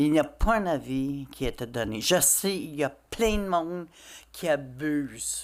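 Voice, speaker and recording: In an English accent, the speaker goes at a very slow pace with lively intonation on a very clean recording with a silent background. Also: woman. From Quebec (Châteauguay). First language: English (speaking French). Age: 60s. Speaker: citizen at council question period. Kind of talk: public comment at council meeting.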